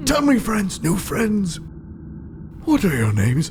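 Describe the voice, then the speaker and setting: A man's put-on character voice, high in pitch and fairly slow, with clear background noise. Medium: actual play. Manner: rambling, flirty, stammering.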